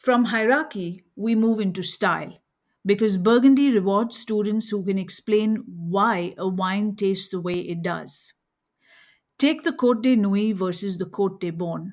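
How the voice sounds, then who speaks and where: On a very clean recording with a silent background, a woman with an Indian accent speaks at a medium pitch and a fairly slow pace, with ordinary pitch variation. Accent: Indian accent, affects French names. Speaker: wine educator podcast host. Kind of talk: scripted lecture.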